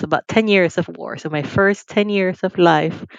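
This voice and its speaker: A woman with a Nicaraguan accent speaks at a fairly slow pace with fairly even intonation, her voice dry and close with no echo against a quiet background. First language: Spanish. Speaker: financial firm CEO. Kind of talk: interview.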